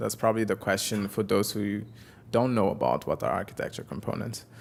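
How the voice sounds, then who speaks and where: A man with a Portuguese accent. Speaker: software developer and conference speaker. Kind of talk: technical talk. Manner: halting.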